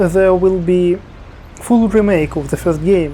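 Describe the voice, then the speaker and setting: At a fairly slow pace, a man with a Russian accent speaks at a high pitch over noticeable background noise. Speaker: video game YouTuber. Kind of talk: game review commentary. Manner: halting, with fillers.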